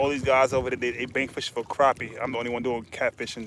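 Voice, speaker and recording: Over noticeable background noise, a man with an American accent talks at a very fast pace in a monotone, flat intonation. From Tennessee. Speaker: fishing vlogger. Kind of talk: live stream commentary while fishing. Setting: outdoors on a bank. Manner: casual, repetitive, stammering.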